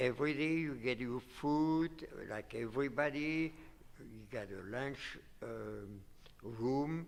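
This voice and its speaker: Speaking at a very slow pace, a man lets his loudness swing widely. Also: medium pitch for a man, ordinary pitch variation. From Belgium. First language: not English. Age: 80s+. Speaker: Holocaust survivor interviewee. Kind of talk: interview. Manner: halting.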